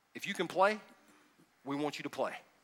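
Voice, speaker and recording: Speaking with a Southern US accent, a man lets his pitch swing very widely. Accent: US South. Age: 50s. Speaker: pastor. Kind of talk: sermon. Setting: church. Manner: animated.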